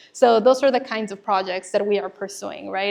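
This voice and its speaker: The background is quiet. A woman speaks with a fairly high pitch and ordinary pitch variation. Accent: Spanish. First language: Spanish. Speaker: conservation nonprofit manager, former teacher. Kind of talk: presentation.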